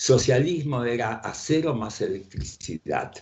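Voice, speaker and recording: A somewhat breathy man at a fairly slow pace. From Ukraine, raised in Buenos Aires from age 7. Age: 80s+. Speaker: writer and economist. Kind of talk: interview. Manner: halting, repeats words.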